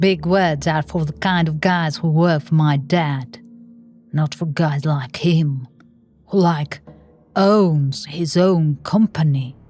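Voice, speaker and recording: A woman's voice with music in the background. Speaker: narrator. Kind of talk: horror story narration.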